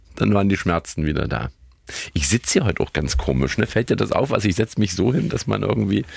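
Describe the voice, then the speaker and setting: A man speaks at a very fast pace with a very deep, low pitch and vocal fry, his pitch swinging very widely while his loudness stays very even. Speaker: podcast co-host. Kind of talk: casual chat.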